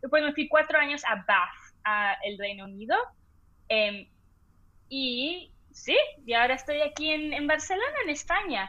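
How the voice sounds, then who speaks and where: Using long, frequent pauses, a woman talks at a fairly slow pace with a high pitch and very wide pitch swings. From international upbringing, oil-industry family moving every few years. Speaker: entrepreneur and social media creator. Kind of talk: casual interview chat. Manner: hesitant, many fillers.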